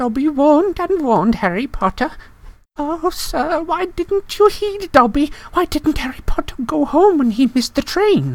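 A put-on character voice pitched high. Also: moderate pace. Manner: whispering, miserable.

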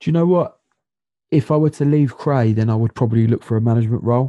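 Against a quiet background, a man speaks at a medium pitch in a dark, mellow tone with ordinary pitch variation. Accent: South London. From South London. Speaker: non-league footballer and assistant coach. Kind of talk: casual interview chat.

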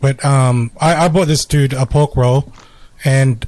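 A man with an Australian accent speaks at a medium pitch, his dark, mellow tone somewhat breathy in a dry, close recording with no echo. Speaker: podcast co-host. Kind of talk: casual chat.

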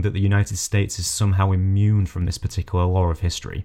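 Talking at a very fast pace, a man with a British accent has a fairly low pitch. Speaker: podcast host. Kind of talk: interview.

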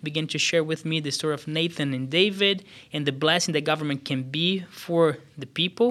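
A man with a Portuguese accent speaks at a moderate pace in a fairly high voice with ordinary pitch variation. His tone is bright and sharp, and the recording is very clean with a silent background. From Brazil, São Paulo State. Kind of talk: casual chat, faith testimony.

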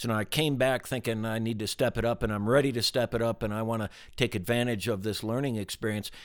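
In a very clean recording with a silent background, a man with an ordinary speaking voice talks at medium pitch with ordinary pitch variation. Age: 60s. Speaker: business executive. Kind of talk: casual interview conversation. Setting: ranch in Wyoming, recorded in person.

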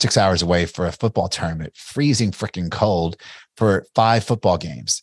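Against a quiet background, a man with a Kentucky accent speaks at a moderate pace in a very deep, low pitch with ordinary pitch variation. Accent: Kentucky Southern American. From US South. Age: 40s. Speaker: entrepreneur and investor. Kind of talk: interview. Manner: casual, with frequent fillers and restarts.

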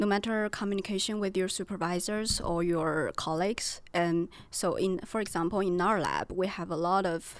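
Speaking with a Chinese accent, a woman uses a fairly low pitch and fairly even intonation. She keeps a moderate pace on a very clean recording with a silent background. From China. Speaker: PhD student. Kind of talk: casual chat.

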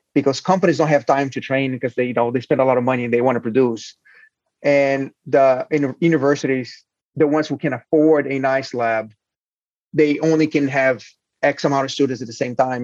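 In a Portuguese accent, a man talks at a fairly quick pace with medium pitch and fairly even intonation. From Brazil. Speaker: hardware incubator founder and CEO. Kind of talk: interview. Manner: halting.

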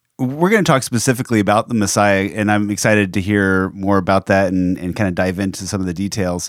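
A man with a fairly low pitch at a very fast pace with hardly any pauses, on a very clean recording with a silent background. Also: ordinary pitch variation. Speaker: radio host. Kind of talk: casual chat. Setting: studio.

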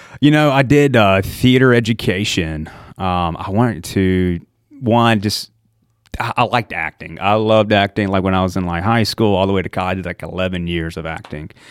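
A man's fairly low voice in a Southern US accent, at a moderate pace with ordinary pitch variation, in a very clean recording with a silent background. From US South, eastern North Carolina. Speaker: EMT. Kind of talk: casual chat. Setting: studio. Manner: animated.

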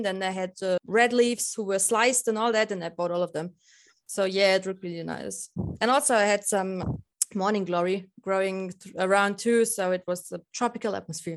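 Speaking at a moderate pace, a woman talks with a German accent. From Lower Bavaria, Germany. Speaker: balcony gardener. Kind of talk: casual interview chat.

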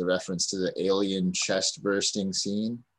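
A man with an ordinary speaking voice talks at a fairly slow pace and a fairly low pitch. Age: 30s. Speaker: podcast host and comedian. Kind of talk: casual chat.

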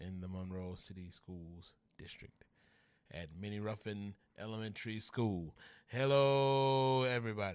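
Speaking with a Louisiana accent, a man talks at a fairly slow pace in a fairly low voice. His pitch varies in an ordinary way while his loudness swings widely. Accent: Louisiana Southern US. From Louisiana, US South. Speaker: social media influencer, former teacher. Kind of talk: casual chat. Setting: studio, on camera.

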